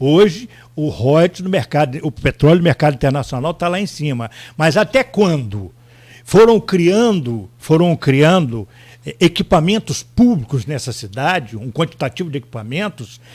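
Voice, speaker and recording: Over a silent background on a very clean recording, a man speaks at a moderate pace. His voice is somewhat breathy and fairly high, with very wide pitch swings. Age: 60s. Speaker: former mayor, politician. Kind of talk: radio interview.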